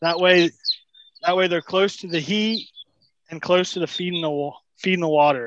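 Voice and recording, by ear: A man talks at a moderate pace in a high voice with a fairly bright tone. His intonation stays fairly even.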